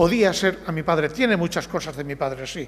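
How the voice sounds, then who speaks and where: A man talks at a moderate pace, his intonation lively throughout. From Barcelona, Catalonia. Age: old. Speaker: novelist. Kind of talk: book presentation interview.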